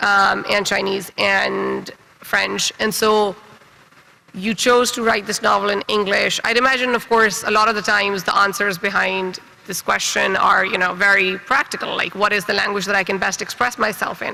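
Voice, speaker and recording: A man speaks in a raised, projected voice with a high pitch and flat, monotone intonation. Noticeable background noise runs under him. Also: moderate pace. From Pakistan. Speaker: writer and panel moderator. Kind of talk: panel discussion.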